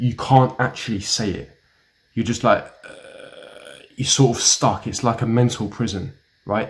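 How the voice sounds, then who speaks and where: A man with a British accent speaks fairly slowly in a medium, somewhat breathy voice with flat, monotone intonation. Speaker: self-help YouTuber. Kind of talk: advice monologue to camera.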